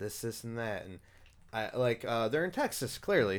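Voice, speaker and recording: This is a man with a normal speaking voice. He talks at a moderate pace. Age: 30s. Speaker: podcast host. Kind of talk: casual chat.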